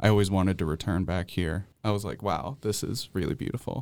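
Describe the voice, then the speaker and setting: On a very clean recording with a silent background, a man with an American accent speaks at a fairly low pitch and a fairly quick pace in a plain, everyday voice, with ordinary pitch variation. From central New York. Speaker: college student. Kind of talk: radio interview. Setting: studio.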